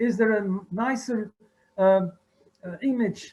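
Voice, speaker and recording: Speaking very slowly with a non-native accent, a man uses a high pitch for a man with ordinary pitch variation. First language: French or Dutch. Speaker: art historian. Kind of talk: conference talk. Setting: video call. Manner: halting.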